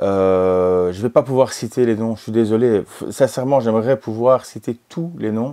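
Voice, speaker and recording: A man's dark, mellow tone at medium pitch, with ordinary pitch variation, hardly any pauses and big swings in loudness. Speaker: retrogaming youtuber. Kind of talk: casual vlog monologue. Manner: halting, many fillers.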